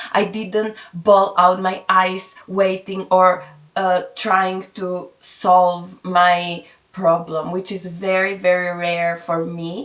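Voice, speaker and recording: In a monotone, flat intonation, a woman with a medium pitch speaks at a very slow pace. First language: Greek. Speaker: vlogger. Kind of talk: casual vlog monologue. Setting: at home, on camera. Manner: halting.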